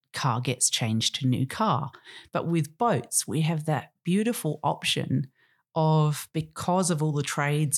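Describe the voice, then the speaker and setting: A woman with an Australian accent speaks at a moderate pace in a very deep, low pitch with ordinary pitch variation, on a very clean recording with a silent background. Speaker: podcast host, marina owner. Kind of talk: interview conversation.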